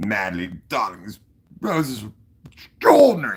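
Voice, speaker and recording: A man uses a put-on character voice that is raspy. He speaks at a medium pitch and a moderate pace. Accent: British. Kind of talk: posh, upper-class.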